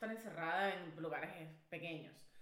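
A woman with a Venezuelan accent and an animated tone, plus audible room echo. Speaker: podcast co-host. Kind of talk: casual chat. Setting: studio.

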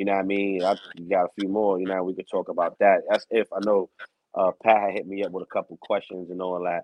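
With a New York accent, this man speaks at a fairly quick pace. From New York, Bronx. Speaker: streetball announcer. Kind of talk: interview. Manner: animated.

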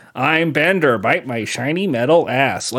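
A man's put-on character voice, fairly high in pitch, at a moderate pace. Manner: deliberate, effortful.

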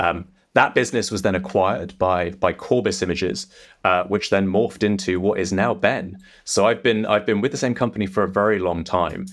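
A man with an English accent, fairly low in pitch, at a fairly quick pace, on a very clean recording with a silent background. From England. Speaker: technology executive. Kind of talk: interview conversation.

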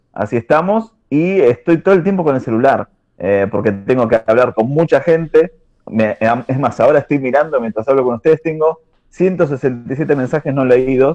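A man in a Buenos Aires accent, fairly high-pitched and dark and mellow in tone, at a moderate pace with lively intonation, in a dry, close sound with no echo. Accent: Buenos Aires rioplatense Spanish. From Argentina, southern Greater Buenos Aires (Lanús). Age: 30s. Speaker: churchgoer guest. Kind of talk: casual chat.

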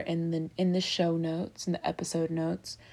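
A woman with an American accent has a normal speaking voice at a fairly low pitch with ordinary pitch variation. The recording is very clean, with a silent background. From Baltimore, Maryland, US. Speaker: podcast host. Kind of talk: casual solo monologue.

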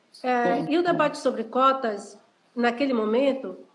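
Here a woman talks at a moderate pace with a high pitch. Her intonation is lively. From Brazil, Salvador, Bahia. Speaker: historian and university professor. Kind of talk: interview on an Instagram live. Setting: Instagram live video call.

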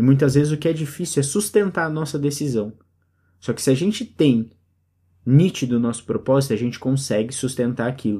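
Fairly quick, somewhat breathy man's voice, fairly high in pitch, with a dark, mellow tone. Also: ordinary pitch variation, very clean recording, silent background. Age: 30s. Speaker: podcast host. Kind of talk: solo reflective monologue.

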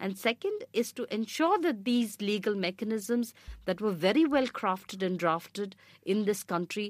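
With an Indian accent, a woman speaks at a moderate pace with lively intonation, the sound dry and close with no echo. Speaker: rights activist. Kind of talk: panel discussion.

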